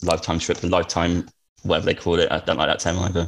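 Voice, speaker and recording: A man talks at a very fast pace with a very deep, low pitch, and the recording is very clean with a silent background. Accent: Norfolk. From eastern England, Norwich. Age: 30s. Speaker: traveller. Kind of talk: casual chat.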